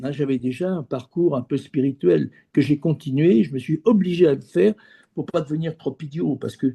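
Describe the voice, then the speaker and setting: Dark, mellow male tone at a moderate pace, ordinary pitch variation, and a dry, close sound with no echo. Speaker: former business executive turned geobiologist. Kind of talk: interview. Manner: halting, many repeated words.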